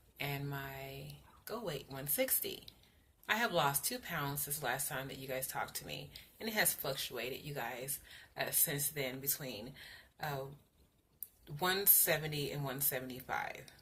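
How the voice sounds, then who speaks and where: A woman talks with a very deep, low pitch and ordinary pitch variation, her tone bright and sharp. She leaves long, frequent pauses, and room echo is audible. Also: moderate pace. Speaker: vlogger sharing weight loss surgery journey. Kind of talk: casual video update. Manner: halting with fillers.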